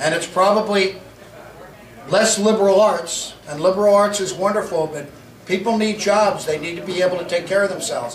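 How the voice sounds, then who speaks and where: A man with an American accent speaks at a high pitch, his pitch moving in an ordinary way. The room echoes audibly, and background noise is noticeable. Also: fairly quick pace. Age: 60s. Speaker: county politician. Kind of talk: Q&A at community meeting. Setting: meeting hall with audience.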